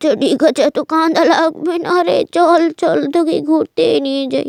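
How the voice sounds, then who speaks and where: A woman puts on a cartoonish character voice at an extremely high pitch. The sound is dry and close with no echo. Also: moderate pace. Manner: gentle, affectionate.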